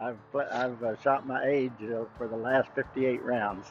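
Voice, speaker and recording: Over noticeable background noise, a man speaks at a fairly slow pace. His intonation is monotone and flat. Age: 80s+. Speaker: golf club employee. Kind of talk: casual interview. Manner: halting.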